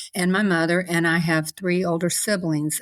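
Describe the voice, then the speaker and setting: At a moderate pace and with fairly even intonation, the voice carries a Southern US accent on a very clean recording with a silent background. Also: woman. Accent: Southern US (Georgia). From US South, Savannah, Georgia. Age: 60s. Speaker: podcast guest. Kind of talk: interview, personal testimony.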